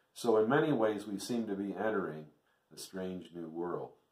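A fairly low-pitched man speaks with ordinary pitch variation against a quiet background with audible room echo. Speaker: preacher. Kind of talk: sermon. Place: home room. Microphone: webcam.

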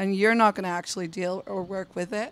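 Husky and medium in pitch, a woman's voice moves at a fairly quick pace. Her intonation stays fairly even.

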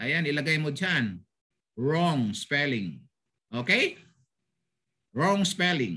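A man's fairly high, bright and sharp voice with very wide pitch swings, a very slow pace and long, frequent pauses over a quiet background. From Philippines, Bulacan; Philippines. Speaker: language teacher. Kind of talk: online language lesson. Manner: animated. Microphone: video call.

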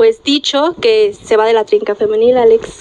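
Over light background noise, a woman speaks at a fairly slow pace with very wide pitch swings. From Mexico. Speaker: sports radio co-host. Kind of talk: sports talk radio. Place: studio.

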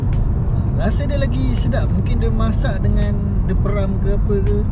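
The recording of this man is dry with no echo, though loud background noise is present. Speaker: vlogger. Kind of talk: casual vlog chat. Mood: upbeat food review. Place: car. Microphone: phone near.

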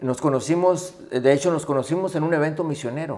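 At a moderate pace, a man talks in a fairly high voice. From Mexico-Texas border, Matamoros and Rio Grande Valley; Texas. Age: 60s. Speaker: Baptist missions director, pastor; interview guest, pastor. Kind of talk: interview conversation. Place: home room. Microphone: studio mic.

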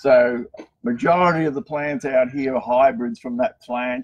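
In an Australian accent, a man talks at a moderate pace with ordinary pitch variation and light background noise. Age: 60s. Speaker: cactus garden owner; garden creator giving tour. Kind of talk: live guided tour. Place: garden. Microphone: phone near.

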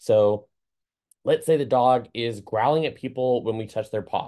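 The background stays quiet. A man talks. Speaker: certified dog trainer. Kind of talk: lecture. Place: home room. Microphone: webcam.

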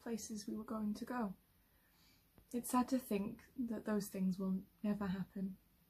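A woman with a fairly high pitch and a dark, mellow, somewhat breathy tone speaks at a moderate pace in a monotone, flat intonation, with long, frequent pauses. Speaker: actor performing a monologue. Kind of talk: scripted monologue, reflective and wistful. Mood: sad, wistful, tearful. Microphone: phone near.

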